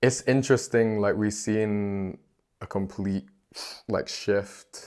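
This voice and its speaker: With a Northern English accent, a man talks at a moderate pace in monotone, flat intonation. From Manchester, England. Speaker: hip-hop artist. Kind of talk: podcast interview answer. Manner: casual, hesitant.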